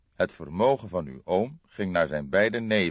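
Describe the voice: Reading aloud, plain and simple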